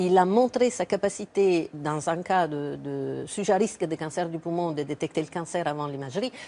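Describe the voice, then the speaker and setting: In a slight Italian accent, a woman speaks at a moderate pace with hardly any pauses, her fairly low voice dark and mellow and her pitch varying in an ordinary way. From Italy. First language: Italian (speaking French). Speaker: cancer researcher. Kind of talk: TV interview.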